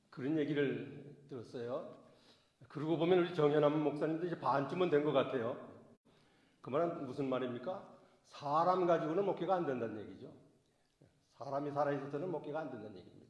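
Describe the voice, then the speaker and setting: A man talks at a fairly quick pace and a fairly high pitch, with ordinary pitch variation and long, frequent pauses. His loudness swings widely, and audible room echo is present. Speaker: pastor. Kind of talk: sermon. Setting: church. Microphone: voice echoing.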